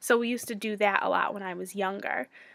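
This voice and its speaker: She is a woman with an American accent and a bright, sharp tone, heard on a very clean recording with a silent background. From US Northeast, Connecticut. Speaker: student and childcare center director. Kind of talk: video self-introduction for class. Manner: fast; frequent ums, filler words.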